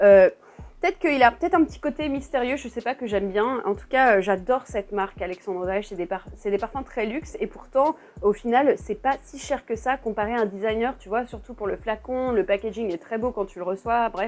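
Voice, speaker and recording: At a fairly quick pace, a woman speaks in a fairly high pitch with ordinary pitch variation and big swings in loudness. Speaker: perfume YouTuber. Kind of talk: casual vlog review. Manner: fast; animated, restless.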